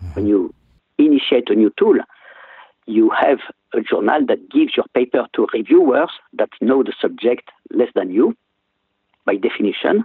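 A man with a French accent talks at a moderate pace, leaving long, frequent pauses. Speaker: physician and professor. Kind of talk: interview. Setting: phone call.

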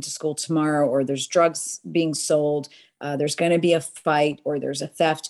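A woman is speaking. Her pace is moderate. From US Northeast, Boston, immigrant parents. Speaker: nonprofit crime-prevention executive and author. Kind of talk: interview.

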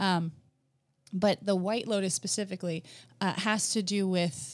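On a very clean recording with a silent background, a woman with an American accent and an ordinary speaking voice talks at a fairly slow pace, with medium pitch and fairly even intonation. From New Jersey, US. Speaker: potter and former occupational therapist. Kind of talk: interview conversation.

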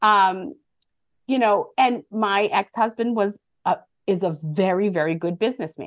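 In an American accent, an unremarkable speaking voice moves at a fairly slow pace with very even loudness and ordinary pitch variation. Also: woman, medium pitch for a woman. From Boston area, US. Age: 50s. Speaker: motivational speaker and author. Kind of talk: interview, casual chat.

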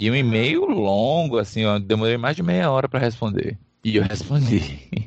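With an unremarkable speaking voice, a man talks at a medium pitch and moderate pace, his intonation lively and his loudness very even. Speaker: podcast host. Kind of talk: casual chat.

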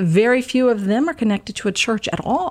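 A woman with an American accent talks at a moderate pace. She has an unremarkable speaking voice with a fairly high pitch. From US South, Georgia. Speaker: retired teacher, Bible study leader. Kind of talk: casual chat. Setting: studio.

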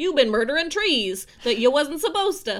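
A high-pitched put-on character voice with very wide pitch swings at a moderate pace. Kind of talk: rural, ungrammatical. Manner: defensive, accusing.

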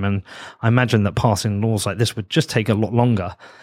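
A man with a British accent talks very fast at a fairly low pitch, his intonation fairly even. The recording is very clean with a silent background. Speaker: podcast host. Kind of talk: interview.

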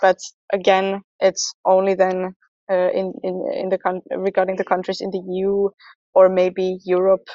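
A woman's medium-pitched voice, fairly slow and flat, monotone throughout. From Finland. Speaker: dance artist. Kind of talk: panel discussion. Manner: hesitant.

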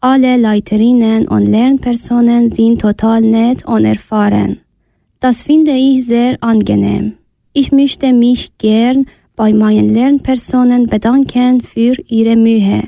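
This woman speaks at a very slow pace with very even loudness, a fairly high pitch, a dark, mellow tone and monotone, flat intonation. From Iran (Afghan family). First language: not German (speaking German). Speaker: refugee, German learner. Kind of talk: reading a prepared text.

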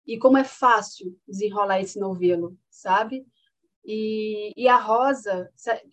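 The voice belongs to a woman. Her pitch moves up and down in an ordinary way. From Paraíba, Brazil (Patos). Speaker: master's student. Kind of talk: casual chat.

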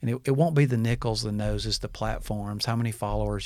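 Very fast speech from a man with an Alabama accent, in a very clean recording with a silent background. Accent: Southern US (Alabama). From Alabama, US South (Birmingham). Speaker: former pastor, leadership coach. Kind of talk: interview. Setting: studio.

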